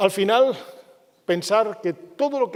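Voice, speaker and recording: A man speaks with ordinary pitch variation. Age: 50s. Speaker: business speaker. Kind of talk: conference talk.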